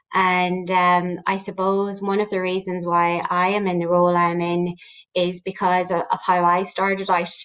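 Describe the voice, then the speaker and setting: A woman's medium-pitched voice with a Northern Irish accent, in a monotone, flat intonation. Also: moderate pace. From Northern Ireland, County Armagh. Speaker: research director at a training agency. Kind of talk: panel discussion.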